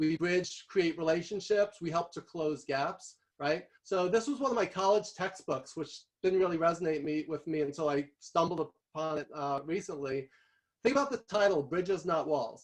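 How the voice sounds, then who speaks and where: The man speaks with a New York accent. His voice is high-pitched, with ordinary pitch variation. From New York City. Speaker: guest speaker on visual thinking. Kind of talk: workshop presentation. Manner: fast.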